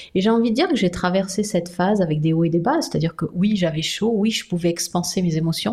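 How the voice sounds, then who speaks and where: A woman's very fast, nearly pause-free voice at medium pitch, dark and mellow in tone, somewhat breathy, with ordinary pitch variation and very even loudness. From Brittany, France. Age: 50s. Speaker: sophrologist and psychoanalyst, author. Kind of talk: interview.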